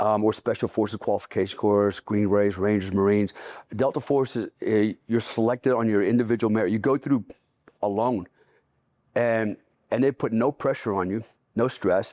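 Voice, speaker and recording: This man has an ordinary speaking voice at a fairly low pitch, with a moderate pace and fairly even intonation. His loudness stays very even, in a dry, close sound with no echo. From US military family, moved around. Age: 60s. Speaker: retired special forces soldier. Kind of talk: casual interview. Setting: on location.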